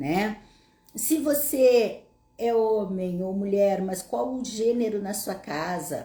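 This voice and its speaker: A woman's dark, mellow, somewhat breathy medium-pitched voice with a southern Brazilian accent, lively intonation, a very slow pace and audible room echo. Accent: gaúcho (southern Brazilian). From southern Brazil, Passo Fundo, Rio Grande do Sul. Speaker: psychologist / therapist. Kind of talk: live Q&A talk to audience. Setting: online livestream.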